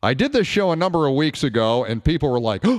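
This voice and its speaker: Lively intonation marks this man's a plain, everyday voice, pitched fairly high. He moves at a fairly quick pace. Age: 50s. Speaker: radio talk show host. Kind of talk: call-in talk radio.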